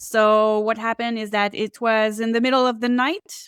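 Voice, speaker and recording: A woman with a French Canadian accent speaks fairly slowly at a fairly high pitch, in a very clean recording with a silent background. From Quebec, Canada. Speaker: psychic and Akashic Records reader. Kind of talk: interview.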